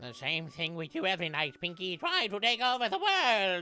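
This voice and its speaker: A man performs a high-pitched put-on character voice, keeping to a moderate pace. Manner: scheming.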